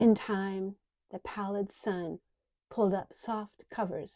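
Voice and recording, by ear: A quiet background behind reading aloud in a natural voice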